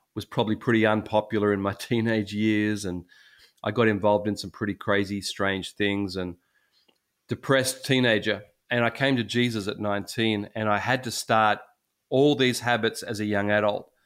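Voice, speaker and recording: Fairly level intonation from a man, on a very clean recording over total silence. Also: moderate pace. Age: 60s. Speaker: senior pastor. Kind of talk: casual chat.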